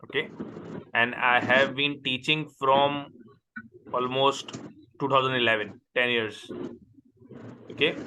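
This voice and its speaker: Speaking in a Pakistani accent, a man holds a medium pitch with monotone, flat intonation. His pace is fairly slow, with long, frequent pauses. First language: Urdu. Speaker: accounting tutor. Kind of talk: online tutoring session.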